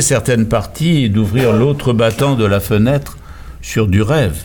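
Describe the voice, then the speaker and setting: A somewhat breathy man at a very slow pace with lively intonation. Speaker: novelist and playwright. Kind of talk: interview. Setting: studio. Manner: formal.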